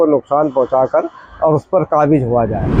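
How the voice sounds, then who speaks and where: A man keeps a moderate tempo while noticeable background noise carries on around him. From India, Kanpur. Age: 60s. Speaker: local resident interviewee. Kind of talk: news interview testimony.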